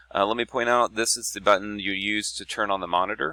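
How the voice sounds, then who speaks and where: A man's fairly low voice with vocal fry, a bright, sharp tone and lively intonation, dry and close with no echo. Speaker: teacher. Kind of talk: tutorial.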